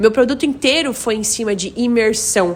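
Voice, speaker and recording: Background noise is noticeable as a woman speaks. Her pitch is fairly high and her pace fairly quick. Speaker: content creator and English teacher. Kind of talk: casual talk to camera. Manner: fast.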